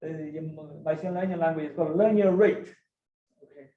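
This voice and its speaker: Audible room echo surrounds a man whose high-pitched voice has ordinary pitch variation. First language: Chinese. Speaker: mathematics professor. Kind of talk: lecture. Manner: halting, many fillers and restarts.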